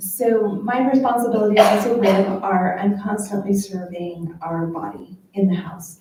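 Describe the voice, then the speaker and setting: Soft-spoken and somewhat breathy, the voice has a dark, mellow tone and audible room echo. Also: woman. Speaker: state representative. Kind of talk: panel Q&A answer. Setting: luncheon event with audience.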